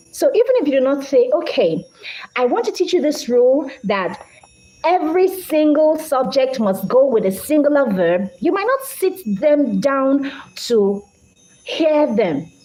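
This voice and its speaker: A woman speaks fairly slowly in a high pitch with very wide pitch swings. Her loudness stays very even over noticeable background noise. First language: Idoma. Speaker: English language teacher. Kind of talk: live-stream lecture.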